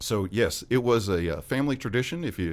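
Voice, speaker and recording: A man talks at a very fast pace with a Southern US accent. His pitch varies in an ordinary way. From West Memphis, Arkansas. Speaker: ghostbusters fan club member. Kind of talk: casual interview chat. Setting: studio.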